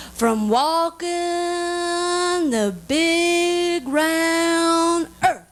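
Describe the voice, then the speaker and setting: The pitch is extremely high. It is a put-on character voice. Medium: stage play. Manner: slow, ominous.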